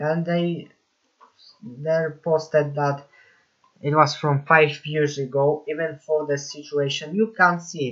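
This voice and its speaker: The speech comes very slowly, with a non-native accent. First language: not English. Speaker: YouTube commentator. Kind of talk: commentary video monologue.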